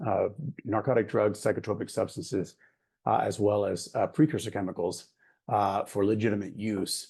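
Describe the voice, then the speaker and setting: Over a quiet background, a man's voice sits at a fairly low pitch, dark and mellow in tone and somewhat breathy. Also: ordinary pitch variation. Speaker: program head at an international drug control body. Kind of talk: conference presentation. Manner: fast; animated.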